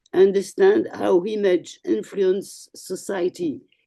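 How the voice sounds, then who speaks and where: With a French accent, a woman speaks at medium pitch in a dark, mellow tone. Her pace is very slow, with ordinary pitch variation. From France. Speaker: communication agency head. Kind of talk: speech at online meeting. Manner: halting.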